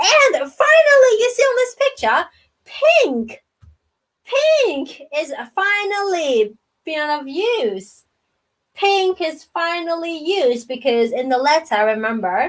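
A woman talks at a very slow pace against a quiet background. Her pitch is extremely high and swings very widely. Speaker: storytime host reading to children. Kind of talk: children's storytime chat. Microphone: webcam.

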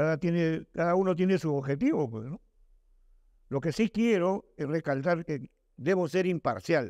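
The speech moves at a fairly slow pace with ordinary pitch variation, recorded dry with no echo against a quiet background. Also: man, high pitch for a man. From Peru. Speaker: writer and journalism teacher; journalism teacher. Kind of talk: Q&A talk with students. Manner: halting, repeats words. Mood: relaxed, conversational. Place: hall. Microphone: handheld.

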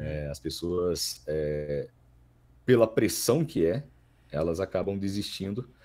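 Delivery comes at a very slow pace with long, frequent pauses. The tone is dark and mellow, and the intonation is lively. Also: man, very deep, low pitch for a man. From Minas Gerais, Brazil. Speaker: voice actor. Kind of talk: casual interview.

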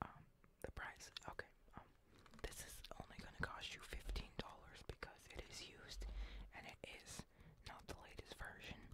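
A man whispers with long, frequent pauses against noticeable background noise. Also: moderate pace. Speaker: ASMR content creator playing a game store clerk. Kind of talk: comedic game store roleplay, casual talk to camera.

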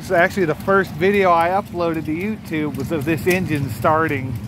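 Delivery comes at a fairly quick pace. The sound is dry with no echo, but noticeable background noise is present. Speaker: video creator filming a tractor show. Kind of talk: casual walk-around narration. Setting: outdoors at tractor show. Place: open country. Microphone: phone near.

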